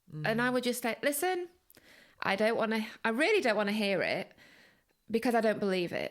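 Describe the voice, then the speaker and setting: A woman with a Manchester accent, fairly high-pitched, lively in intonation, at a moderate pace, on a very clean recording with a silent background. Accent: Northern English (Manchester). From Manchester, England. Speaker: journalist and author. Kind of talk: interview answer.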